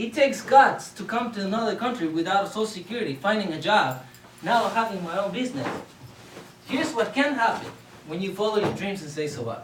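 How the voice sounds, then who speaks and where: A man with a Spanish accent talks fairly quickly in a high pitch with lively intonation, amid audible room echo and noticeable background noise. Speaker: public speaker. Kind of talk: contest speech. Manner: animated.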